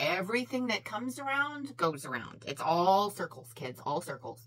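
A woman with vocal fry talks at a moderate pace with hardly any pauses, her pitch swinging very widely. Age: 40s. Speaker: beauty YouTuber. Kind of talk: casual vlog monologue while doing makeup. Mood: opinionated, a bit heated. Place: home room.

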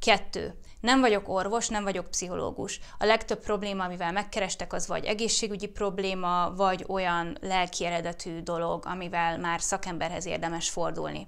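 With hardly any pauses, a woman talks at a moderate pace with fairly even intonation. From Hungary. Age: 30s. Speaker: YouTuber and fertility awareness educator; YouTuber, fertility awareness educator. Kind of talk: casual Q&A vlog.

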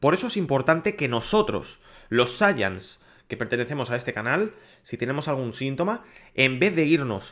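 In a quiet background, a man with a Castilian accent speaks with lively intonation. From Spain. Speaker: gaming YouTuber. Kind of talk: public service message to viewers. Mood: serious, concerned. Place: home room. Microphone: studio mic.

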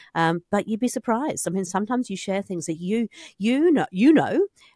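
A woman's very fast, lively speech in a New Zealand accent, dry with no echo against a quiet background. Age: 50s. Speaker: podcast host. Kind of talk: casual interview. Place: studio. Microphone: studio mic.

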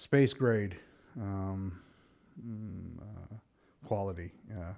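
A man speaks in a fairly low pitch. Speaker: microphone seller. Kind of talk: product demo talk. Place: studio. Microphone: studio mic.

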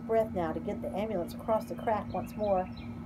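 The clip is a natural reading voice.

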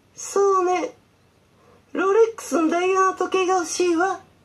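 A cartoonish character voice, female-sounding, pitched extremely high for a woman. The pace is moderate. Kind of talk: puppet theatre skit.

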